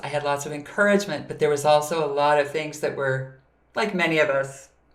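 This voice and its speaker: A woman with an American accent, ordinary pitch variation, and noticeable background noise. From US Midwest, Minnesota. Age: 60s. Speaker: voice coach and singer. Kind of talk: interview.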